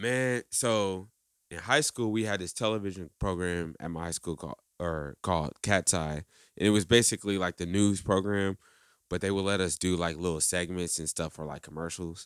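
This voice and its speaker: With an American accent, a man talks at a moderate pace in a very deep, low pitch. The sound is dry and close with no echo, on a very clean recording with a silent background. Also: ordinary pitch variation. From US Midwest, Indianapolis. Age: 20s. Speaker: drummer and music producer. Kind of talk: casual chat.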